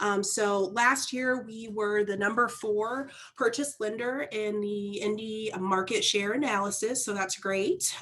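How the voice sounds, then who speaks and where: A woman speaks loudly at a fairly slow pace, her pitch medium and her intonation fairly even. Noticeable background noise runs under her voice. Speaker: mortgage lender representative. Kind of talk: sponsor presentation. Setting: video call.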